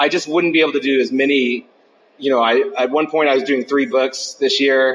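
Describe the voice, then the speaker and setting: A man's normal speaking voice at a fairly high pitch, fairly quick, with fairly even intonation and very even loudness. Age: 40s. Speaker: comics writer and artist. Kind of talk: interview. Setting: on site at a comics convention. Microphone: phone recorder, poor quality.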